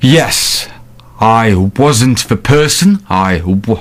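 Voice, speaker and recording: A man speaks with lively intonation. His pitch sits in the medium range. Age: 20s. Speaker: person who stammers, course graduate. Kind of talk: radio interview. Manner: controlled, mostly fluent speech.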